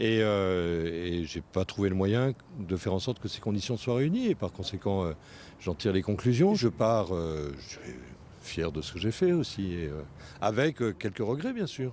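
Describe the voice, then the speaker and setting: A man's fairly low-pitched voice with lively intonation at a fairly slow pace. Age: 60s. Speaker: local politician. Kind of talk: interview. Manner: halting, many hesitations.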